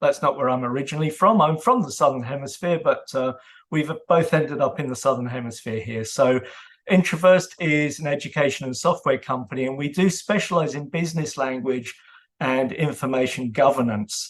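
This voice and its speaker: A man with a British accent talks at a fairly quick pace. His fairly high pitch shows ordinary variation. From UK. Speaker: author and data governance consultant. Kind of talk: presentation. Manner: hesitant with fillers.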